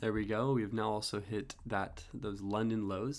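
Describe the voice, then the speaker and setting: This is a man with a fairly low pitch. He talks in a relaxed tone at a moderate pace. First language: French. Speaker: day trading streamer. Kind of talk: live trading commentary. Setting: live stream. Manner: casual, relaxed.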